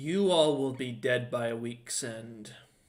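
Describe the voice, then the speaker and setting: A man in a put-on character voice booms at a medium pitch and a fairly slow pace. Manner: menacing.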